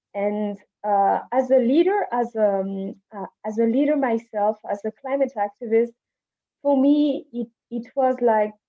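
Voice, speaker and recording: Speaking at a fairly slow pace with a French accent, a woman uses ordinary pitch variation at a fairly high pitch. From Madagascar. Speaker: climate activist. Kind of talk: panel discussion. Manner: halting, many fillers.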